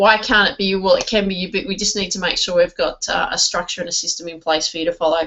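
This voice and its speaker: A woman speaks at a very fast pace in an Australian accent. Her voice sits at medium pitch. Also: ordinary pitch variation, hardly any pauses. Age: 40s. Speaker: network marketing trainer. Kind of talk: online training presentation. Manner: halting, many fillers.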